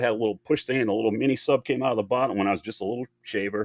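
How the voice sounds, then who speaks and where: On a very clean recording with a silent background, a man talks at a very fast pace with fairly even intonation, the sound dry and close with no echo. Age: 60s. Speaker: toy and comic collector, YouTuber. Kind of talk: casual interview chat. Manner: halting, many fillers and restarts.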